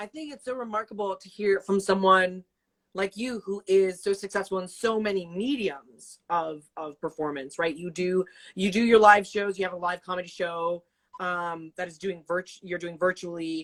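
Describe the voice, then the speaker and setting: A woman with an American accent, an ordinary speaking voice, medium pitch, ordinary pitch variation, big swings in loudness and a moderate pace. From US South, Atlanta area. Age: 20s. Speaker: interview host. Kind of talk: casual interview. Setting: livestream video call.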